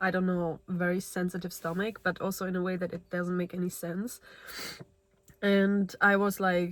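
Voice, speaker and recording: A woman's medium-pitched, monotone delivery with flat intonation at a moderate pace. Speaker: self-help vlogger. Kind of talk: casual monologue vlog. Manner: hesitant, filler-heavy.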